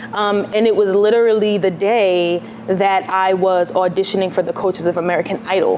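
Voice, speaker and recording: Over music in the background, a woman with a New York accent talks at a fairly quick pace with very even loudness. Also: medium pitch for a woman, fairly even intonation. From New York City, Queens. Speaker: singer-songwriter. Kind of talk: interview.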